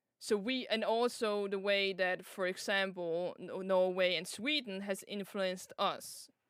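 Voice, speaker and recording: A woman with a Danish accent speaks at a fairly slow pace with hardly any pauses. Her pitch is medium and her intonation fairly even. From Denmark. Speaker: vtuber streamer. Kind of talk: casual chat.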